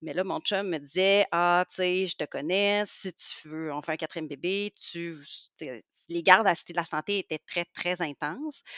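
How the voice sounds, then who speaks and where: With a Quebec accent, a woman talks at a fairly slow pace in a fairly low pitch, her bright, sharp tone and fairly even intonation caught in a dry, close sound with no echo against a quiet background. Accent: Québécois French. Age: 40s. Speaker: pediatrician. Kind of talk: casual interview.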